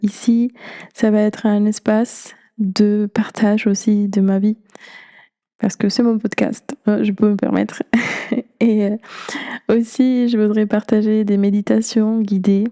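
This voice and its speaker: A woman's fairly high, flat monotone at a very slow pace, broken by long, frequent pauses, with a dry, close sound and no echo. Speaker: podcast host. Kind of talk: podcast monologue.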